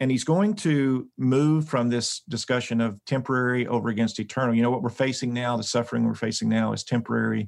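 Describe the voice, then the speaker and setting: A man with a plain, everyday voice speaks at a medium pitch with ordinary pitch variation. His pace is fairly quick, with hardly any pauses and very even loudness. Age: 60s. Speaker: Bible scholar and professor. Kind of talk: podcast interview on scripture.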